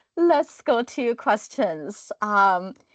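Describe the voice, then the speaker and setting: With very wide pitch swings, a woman speaks at a very slow pace in a dry, close sound with no echo. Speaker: training session moderator. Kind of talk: webinar moderation. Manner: calm-sounding.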